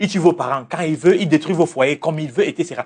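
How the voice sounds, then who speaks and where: A man's high-pitched, loud voice moves along at a fairly quick pace. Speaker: religious teacher and life coach. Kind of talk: interview. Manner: assertive.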